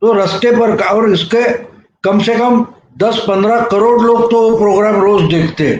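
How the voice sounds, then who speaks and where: The voice keeps very even loudness and fairly even intonation throughout. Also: man, high pitch for a man. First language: Marathi (speaking Hindi). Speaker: journalist, political commentator. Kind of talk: video commentary.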